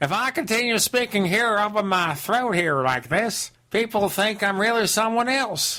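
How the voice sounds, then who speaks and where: A man does a put-on, guttural character voice, high in pitch with lively intonation. He keeps a moderate pace with hardly any pauses and very even loudness. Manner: mimicking a salesman's catchphrase style.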